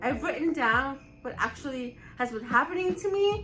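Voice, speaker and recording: Over music in the background, a woman speaks at a fairly slow pace with lively intonation. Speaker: vlogger with neurofibromatosis. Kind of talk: casual talk to camera.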